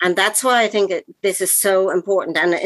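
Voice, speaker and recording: A woman with an Irish accent speaks at a fairly quick pace in a medium pitch. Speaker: actor.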